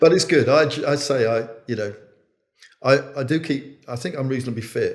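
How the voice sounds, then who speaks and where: At a moderate pace, a man talks in a somewhat breathy voice of medium pitch. His pitch moves in an ordinary way. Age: 70s. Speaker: chief executive of an early years charity. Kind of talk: casual chat. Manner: halting.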